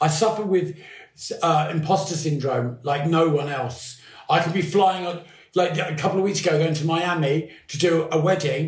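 There is audible room echo as a man with a high pitch speaks at a moderate pace with fairly even intonation. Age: 50s. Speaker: podcast guest. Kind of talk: casual chat.

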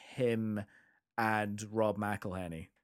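On a very clean recording with a silent background, a man with a Scottish accent speaks at a very slow pace and medium pitch. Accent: Scottish (Edinburgh area). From Scotland, near Edinburgh. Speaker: podcast co-host and music teacher. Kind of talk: casual chat. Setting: recording late evening after work.

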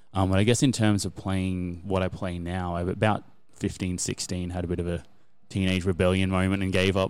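With a very deep, low pitch and monotone, flat intonation, a man talks at a fairly quick pace. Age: 30s. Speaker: musician. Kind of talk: casual chat.

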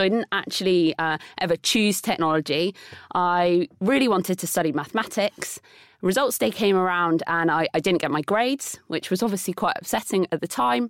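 A woman talks fairly quickly with lively intonation on a very clean recording with a silent background and a dry, close sound with no echo. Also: medium pitch for a woman. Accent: southern English. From southern England, Bournemouth. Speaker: tech entrepreneur. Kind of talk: interview conversation.

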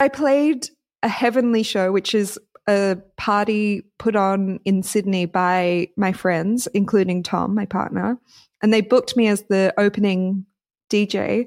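A woman speaks at a fairly slow pace in an Australian accent, her pitch medium and her loudness very even. The recording is very clean, with a silent background. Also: ordinary pitch variation, dry, close sound with no echo. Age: 30s. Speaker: DJ and podcast co-host. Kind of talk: casual chat.

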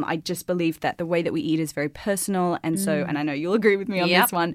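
A woman at a very fast pace, medium in pitch with lively intonation, on a very clean recording with a silent background. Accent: Australian. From Australia. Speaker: podcast guest, fitness and wellness personality.

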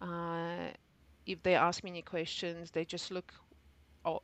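With a Polish accent, a woman speaks at a fairly slow pace in a fairly low pitch with monotone, flat intonation. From Poland. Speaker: civil engineer. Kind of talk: interview.

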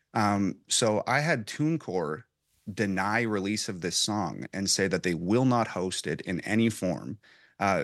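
Over a quiet background, a man with a plain, everyday voice talks fairly slowly at a fairly low pitch, with ordinary pitch variation. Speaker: rapper. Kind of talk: panel discussion.

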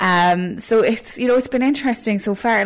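Speaking in a Cork accent, a woman keeps a moderate pace, a fairly high pitch and fairly even intonation. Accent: Cork Irish. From Ireland, Cork (Ballygarvan). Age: 20s. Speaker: radio newsreader. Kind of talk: casual interview.

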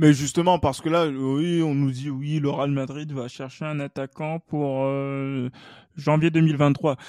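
A man's fairly high voice with a dark, mellow tone, at a very slow pace, with fairly even intonation, in a very clean recording with a silent background. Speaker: football podcast host. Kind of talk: casual chat.

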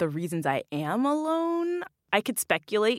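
With an American accent and ordinary pitch variation, a woman speaks in a very clean recording with a silent background and a dry, close sound with no echo. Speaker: elite cyclist and advocate. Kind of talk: casual interview chat. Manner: passionate, respectful.

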